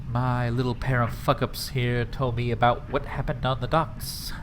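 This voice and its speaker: A man puts on a nasal character voice at a medium pitch and a moderate pace. Loud background noise runs behind him. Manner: rusty, mean.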